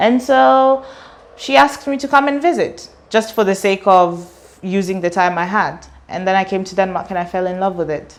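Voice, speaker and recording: A woman of medium pitch, moderate pace and lively intonation. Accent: British. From Kenya. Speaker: student and artist. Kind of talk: interview.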